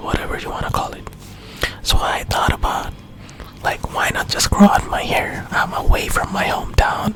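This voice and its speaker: Someone whispers in a gentle tone at a moderate pace over music in the background. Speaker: ASMR creator. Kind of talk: storytime ramble to camera. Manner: whispered, gentle.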